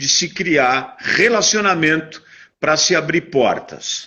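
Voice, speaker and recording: An ordinary speaking voice from a man, fairly high in pitch, with lively intonation and a fairly slow pace. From Brazil, São Paulo. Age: 60s. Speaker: businessman. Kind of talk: interview.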